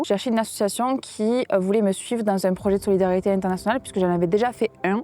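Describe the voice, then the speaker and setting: Talking very fast, a woman speaks at a medium pitch in a dark, mellow tone, her intonation fairly even and the sound dry and close with no echo. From southern France, Perpignan. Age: 20s. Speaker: volunteer, new primary school teacher. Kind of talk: interview testimony. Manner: hesitant with fillers.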